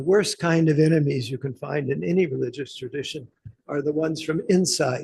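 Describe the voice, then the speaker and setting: A somewhat breathy man with an American accent, fairly high in pitch, at a moderate pace with ordinary pitch variation. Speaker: professor. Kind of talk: seminar Q&A answer.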